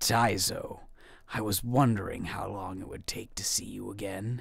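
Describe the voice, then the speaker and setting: Moderately paced and fairly low-pitched: a man doing a put-on character voice. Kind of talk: radio drama. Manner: taunting.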